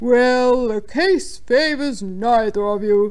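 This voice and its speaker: A put-on character voice with a pompous tone, fairly high in pitch and very slow, over noticeable background noise. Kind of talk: formal legal.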